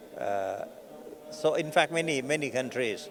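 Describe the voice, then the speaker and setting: At a fairly slow pace, a man with a Thai accent speaks in a fairly high pitch. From Thailand. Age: 70s. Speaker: Buddhist organization president. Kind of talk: interview. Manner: halting.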